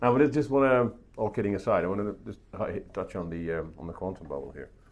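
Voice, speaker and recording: With a Dutch accent, a man talks very fast at fairly low pitch. His pitch swings very widely. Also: big swings in loudness. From Netherlands. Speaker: podcast host, tech journalist. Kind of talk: interview conversation. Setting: at a conference event. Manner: halting, many repeats and fillers.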